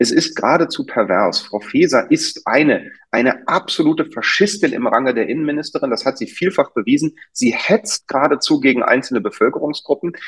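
This man's delivery is fairly quick. Pauses barely appear at all. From Germany, Berlin. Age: middle-aged. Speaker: doctor. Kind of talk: interview. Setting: video call. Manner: animated.

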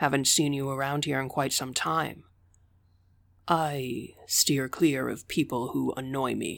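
In a very clean recording with a silent background, a man speaks at a fairly slow pace with medium pitch and fairly even intonation. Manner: mocking, menacing.

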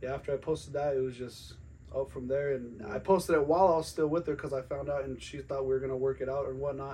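Speaking at a very fast pace, a man with an American accent uses a fairly high pitch, a somewhat breathy voice and fairly even intonation. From Colorado, Western Slope. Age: 30s. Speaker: podcast guest. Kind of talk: casual chat.

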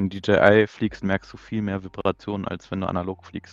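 A man at a moderate pace in a dry, close sound with no echo. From near Braunschweig, Lower Saxony, Germany. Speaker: FPV drone racing pilot. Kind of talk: casual chat.

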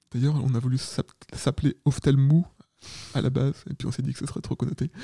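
Somewhat breathy and dark, mellow in tone, a man's fairly high voice moves at a fairly quick pace in a dry, close sound with no echo. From Paris region, France. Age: 30s. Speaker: photographer. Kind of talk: interview.

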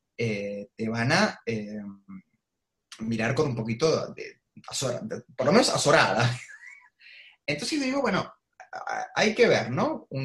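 A man speaks at a very slow pace. His speech has long, frequent pauses. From Argentina, Avellaneda (Buenos Aires province). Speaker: political analyst and columnist. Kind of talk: online talk / interview.

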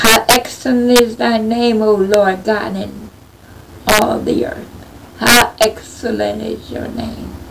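Noticeable background noise sits under this recording. A woman with an American accent speaks at a very slow pace. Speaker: prayer leader. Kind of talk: fervent prayer. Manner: pleading, fervent; repetitive, call-and-response.

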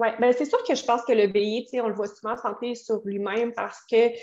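A woman speaks at a fairly high pitch and moderate pace. Her intonation is fairly even against a quiet background. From Quebec City, Quebec. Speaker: tarot reader and astrologer. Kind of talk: casual interview chat. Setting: video call.

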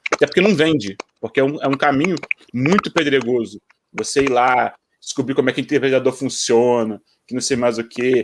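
A man with an ordinary speaking voice talks at a moderate pace, fairly high in pitch, with ordinary pitch variation. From Brazil, Rio de Janeiro then interior. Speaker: software developer. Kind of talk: casual chat.

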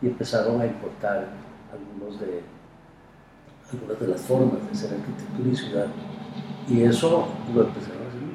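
A man with a medium-pitched voice talks fairly quickly with lively intonation, big swings in loudness and long, frequent pauses, amid noticeable background noise and audible room echo. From Costa Rica, San José. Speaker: architect and university professor. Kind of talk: interview.

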